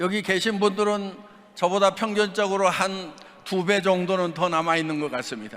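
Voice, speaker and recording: Over noticeable background noise, a man with a high voice speaks at a moderate pace with fairly even intonation. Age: 60s. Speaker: company founder speaking at business event. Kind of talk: speech with consecutive interpretation.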